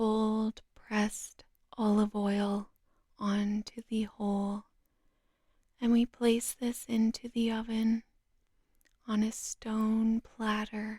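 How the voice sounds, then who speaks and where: The speaker is soft-spoken and talks at a very slow pace. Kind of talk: sleep story, slow soothing nonsense recipe narration. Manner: soft-spoken, slow, calming.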